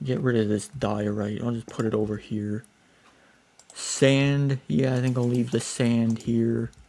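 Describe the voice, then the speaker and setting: Noticeable background noise runs under a man at a medium pitch. He speaks at a fairly slow pace with fairly even intonation. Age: 20s. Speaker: gaming YouTuber. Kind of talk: gameplay commentary. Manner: casual, rambling with fillers.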